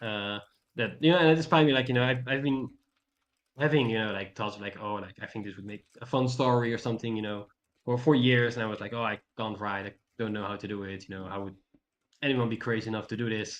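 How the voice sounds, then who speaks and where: A man of medium pitch talks very fast with a non-native accent, ordinary pitch variation and big swings in loudness. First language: not English. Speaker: mentee. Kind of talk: mentoring session chat. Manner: halting, many fillers.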